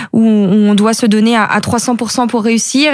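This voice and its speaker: A woman talks at a moderate pace. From Brittany (Côtes d'Armor). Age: 30s. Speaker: professional cyclist. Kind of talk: interview. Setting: studio.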